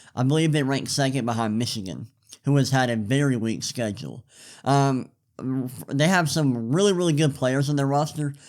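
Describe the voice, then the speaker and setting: Recorded very clean against a silent background, a man talks at a moderate pace in an unremarkable speaking voice of medium pitch with ordinary pitch variation. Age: 20s. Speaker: sports podcast host. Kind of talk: solo sports commentary podcast. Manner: casual, with fillers and repetitions.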